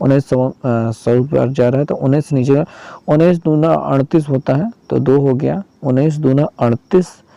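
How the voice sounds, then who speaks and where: Over a dry, close sound with no echo, a man speaks at a moderate pace. His fairly high voice has a dark, mellow tone and ordinary pitch variation. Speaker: exam prep teacher. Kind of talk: tutorial.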